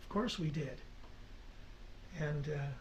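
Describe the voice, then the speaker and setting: A man talks fairly slowly, and the echo of the room can be heard. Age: 60s. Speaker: folk singer-songwriter. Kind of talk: radio interview. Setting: studio. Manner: halting.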